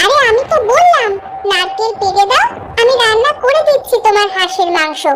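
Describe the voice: A woman's cartoonish character voice, extremely high in pitch, at a moderate pace.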